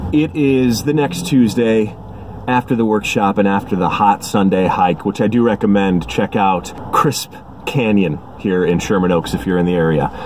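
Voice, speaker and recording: Noticeable background noise runs under the speech. The pace is moderate and the intonation lively. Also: man, fairly low pitch for a man. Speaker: voice actor. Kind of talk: casual talk to camera vlog. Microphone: phone near.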